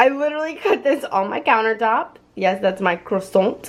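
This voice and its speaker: Lively intonation from a woman at a moderate pace. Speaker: lifestyle vlogger. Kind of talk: casual vlog talk to camera. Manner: animated.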